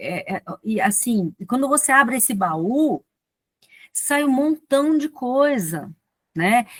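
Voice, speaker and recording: This woman speaks at a high pitch with very wide pitch swings, recorded dry and close with no echo. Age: 50s. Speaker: physician and speaker. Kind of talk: talk at online poets' meeting.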